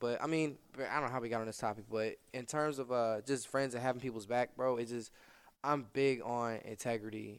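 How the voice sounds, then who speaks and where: Speaking at a fairly quick pace, a man uses an ordinary speaking voice with a medium pitch and fairly even intonation. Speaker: podcast host. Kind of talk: casual chat. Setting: studio.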